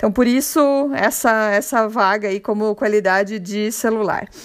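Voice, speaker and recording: Very slow pace with ordinary pitch variation. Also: woman. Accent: Curitiba. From Brazil, Curitiba. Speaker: podcast host. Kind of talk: casual monologue. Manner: halting.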